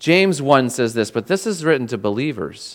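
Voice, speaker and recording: Speaking fairly slowly, a man uses lively intonation. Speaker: preacher. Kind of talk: sermon. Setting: church. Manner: halting, with frequent filler words.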